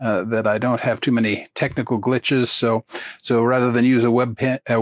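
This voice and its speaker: Here a man talks at a medium pitch with fairly even intonation. The sound is dry and close with no echo, over a quiet background. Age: 60s. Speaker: chalk artist and art teacher. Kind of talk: tutorial. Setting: screen share recording on computer. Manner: hesitant, many fillers.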